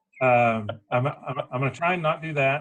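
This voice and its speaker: The man's somewhat breathy voice moves at a moderate pace. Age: 50s.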